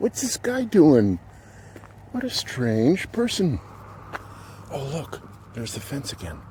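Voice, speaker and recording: Noticeable background noise sits under a man's voice. His pitch swings very widely. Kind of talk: casual talk to camera, walking vlog. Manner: soft-spoken, whispered.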